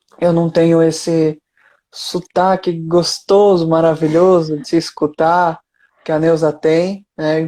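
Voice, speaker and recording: In a northern Brazilian accent, a man speaks at a very slow pace with a high pitch, a dark, mellow tone and flat, monotone intonation. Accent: northern Brazilian (Amazonas), strong S and R. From Amazonas, northern Brazil. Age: young. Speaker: spiritist speaker and youth educator. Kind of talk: online interview. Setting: Instagram live.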